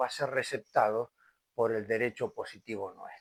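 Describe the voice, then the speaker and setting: Recorded very cleanly against a silent background, a man talks at a fairly slow pace in a dry, close sound with no echo. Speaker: lecturer on medical law. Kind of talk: lecture. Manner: occasional stumbles and hesitations.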